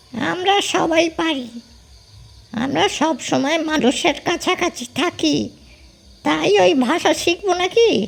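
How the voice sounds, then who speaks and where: In a put-on character voice, someone speaks at a high pitch and a very slow pace. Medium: audio drama. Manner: addresses the man as sir, politely grumbling.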